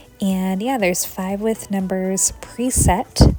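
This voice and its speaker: Music plays in the background as a woman speaks. Her pitch is medium and her pace fairly slow. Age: 30s. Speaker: flight attendant and savings challenge vlogger. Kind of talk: chatty voiceover. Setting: home voiceover. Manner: chatty.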